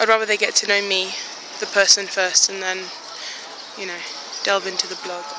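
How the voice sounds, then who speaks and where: A woman speaks at a fairly quick pace in a monotone, flat way, with long, frequent pauses and big swings in loudness. Noticeable background noise is present, though the sound is dry with no echo. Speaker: plus size fashion blogger. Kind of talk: casual vlog talk to phone camera. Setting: outdoors. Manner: hesitant, tongue-tied. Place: street. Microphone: phone near.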